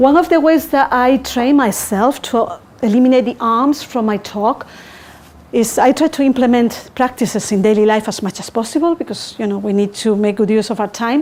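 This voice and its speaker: A woman speaks at a moderate pace with a non-native accent. Her pitch is fairly high. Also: ordinary pitch variation. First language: not English. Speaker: public speaking coach. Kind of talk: tutorial.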